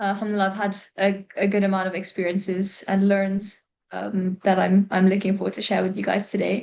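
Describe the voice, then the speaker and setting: Monotone, flat delivery at a fairly quick pace. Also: woman, medium pitch for a woman. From UK and Gulf states, mixed. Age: 20s. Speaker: personal trainer. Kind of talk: podcast interview. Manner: hesitant, many fillers.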